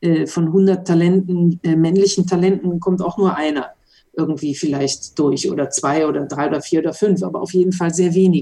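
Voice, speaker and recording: A woman's fairly low, dark, mellow voice moves at a moderate pace with fairly even intonation. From western Germany, Mönchengladbach. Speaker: former racing driver. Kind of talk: interview.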